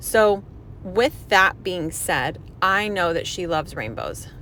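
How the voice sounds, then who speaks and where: A woman with a normal speaking voice, medium pitch and ordinary pitch variation. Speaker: hair colorist. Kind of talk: tutorial.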